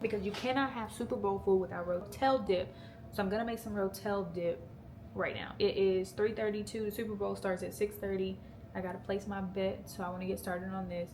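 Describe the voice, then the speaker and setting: There is audible room echo as a woman talks at a fairly quick pace. Her medium-pitched voice keeps a fairly even intonation. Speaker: lifestyle vlogger. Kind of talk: casual vlog chat.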